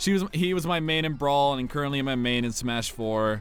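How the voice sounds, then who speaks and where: A fairly high-pitched man with an American accent, very wide pitch swings and a moderate pace, amid audible room echo and music in the background. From Arizona, US. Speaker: YouTuber. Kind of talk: Q&A video, casual chat. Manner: casual, hesitant with fillers.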